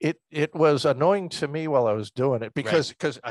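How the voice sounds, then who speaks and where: Using a plain, everyday voice, a man talks at a fairly quick pace with ordinary pitch variation. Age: 60s. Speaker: retired military veteran and professor, private helicopter pilot. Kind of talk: interview answer.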